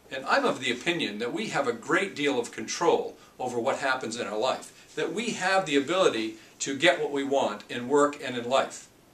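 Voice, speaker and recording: A man with a fairly high pitch and lively intonation at a moderate pace, over noticeable background noise. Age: 50s. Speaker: leadership coach. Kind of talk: tutorial. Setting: office.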